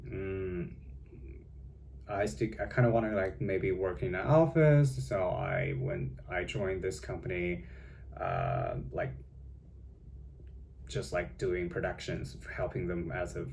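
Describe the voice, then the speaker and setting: With a Chinese accent and vocal fry, a man with a very deep, low voice speaks at a very slow pace, his pitch swinging very widely, with long, frequent pauses and audible room echo. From China. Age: young. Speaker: vlogger. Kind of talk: casual vlog monologue. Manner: halting, many fillers.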